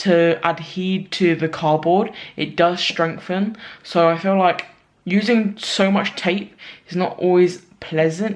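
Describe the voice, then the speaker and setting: A woman with a London accent speaks very slowly, her fairly low pitch held in a fairly even intonation. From London, UK. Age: 20s. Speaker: small sauce business owner. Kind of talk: casual vlog talk to camera.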